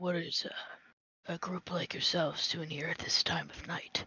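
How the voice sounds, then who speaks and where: A put-on character voice comes out as a raspy, gruff whisper. The pace is moderate. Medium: actual play. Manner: gruff, terse, folksy.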